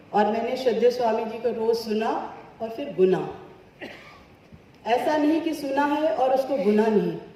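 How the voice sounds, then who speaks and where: A woman's fairly high-pitched voice with ordinary pitch variation and long, frequent pauses, amid audible room echo and noticeable background noise. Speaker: yoga teacher. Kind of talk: testimony. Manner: soft-spoken.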